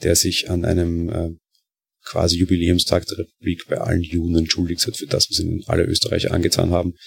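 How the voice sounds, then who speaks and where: A man with a Viennese accent speaks at a very fast pace in a very deep, low pitch. His voice is somewhat breathy, and the sound is dry and close with no echo. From Austria, Vienna. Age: 20s. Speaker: podcaster. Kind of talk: casual monologue. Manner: hesitant, many fillers.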